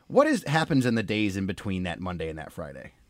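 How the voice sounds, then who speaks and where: On a very clean recording with a silent background, a man with an unremarkable speaking voice talks at a fairly quick pace with lively intonation. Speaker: podcast host and political reporter. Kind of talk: casual podcast conversation.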